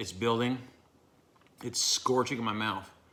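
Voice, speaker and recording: Putting on a character voice, a man sounds strained at a medium pitch. His pace is moderate and his intonation fairly even. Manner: strained, hard to talk.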